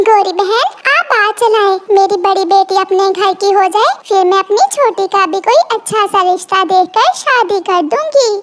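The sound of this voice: A cartoonish character voice holds very even loudness with ordinary pitch variation. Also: woman, extremely high pitch for a woman, moderate pace.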